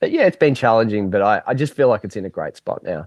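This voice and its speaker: The speaker is a man with an Australian accent. The sound is dry and close, without any echo. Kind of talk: interview answer. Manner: mellow, relaxed.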